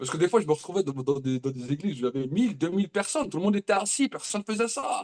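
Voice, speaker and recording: A man's high-pitched, animated voice at a very fast pace, with very wide pitch swings, hardly any pauses, and a dry, close sound with no echo. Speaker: prophet preacher. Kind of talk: sermon.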